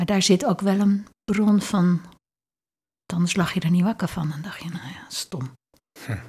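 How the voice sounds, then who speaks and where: On a very clean recording with a silent background, a woman with a fairly low pitch sounds somewhat breathy, speaking at a fairly slow pace with long, frequent pauses. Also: ordinary pitch variation. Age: 60s. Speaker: leadership consultant and lecturer. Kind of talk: interview conversation.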